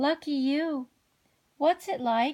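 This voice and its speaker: A woman's high-pitched put-on character voice. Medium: read story.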